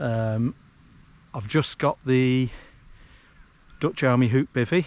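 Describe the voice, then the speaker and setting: On a very clean recording with a silent background and a dry, close sound with no echo, a man of medium pitch speaks at a very slow pace with ordinary pitch variation. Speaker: outdoor vlogger. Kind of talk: casual vlog narration. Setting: outdoors. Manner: hesitant, many fillers; quiet, keeping voice down.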